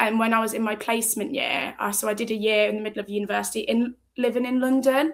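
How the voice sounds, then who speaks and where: At a very fast pace, a woman talks in a fairly high voice. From English Midlands (Tamworth, near Birmingham). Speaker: running club member. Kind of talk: interview. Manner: energetic.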